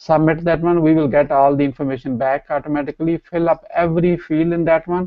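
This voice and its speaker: Speech comes at a very fast pace in a Pakistani accent, the intonation monotone and flat. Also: man, fairly high pitch for a man, hardly any pauses. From Pakistan, Punjab village. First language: Punjabi/Urdu. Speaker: entrepreneur and co-trainer. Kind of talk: promotional talk.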